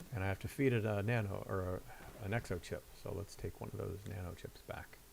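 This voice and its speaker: A man with a Midwestern accent, fairly quick pace, vocal fry, and fairly even intonation. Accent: Midwest. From Ohio, US Midwest. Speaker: video game streamer. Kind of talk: casual gameplay commentary. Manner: casual, halting with fillers.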